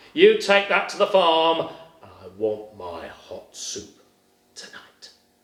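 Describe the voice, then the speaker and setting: A man puts on a character voice at a high pitch. He speaks at a fairly slow pace. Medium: read story.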